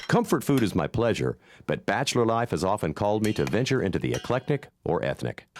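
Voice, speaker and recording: Speaking fairly quickly with an American accent, a man uses a fairly low pitch and vocal fry. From Ozarks, US. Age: 50s. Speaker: contest entrant, food stylist and jingle writer. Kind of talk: scripted video pitch. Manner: playful.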